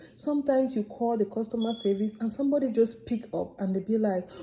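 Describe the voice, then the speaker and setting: An animated woman with an African accent at a fairly quick pace, over noticeable background noise. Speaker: vlogger. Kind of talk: casual vlog monologue.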